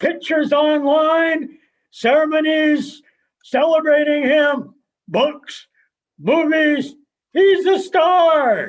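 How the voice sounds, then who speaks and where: Putting on a character voice, a man speaks at an extremely high pitch, very slowly, with long, frequent pauses. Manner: curt, terse, deadpan.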